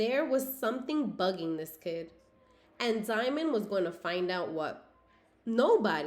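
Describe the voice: The clip is plain reading aloud. Its intonation sounds lively.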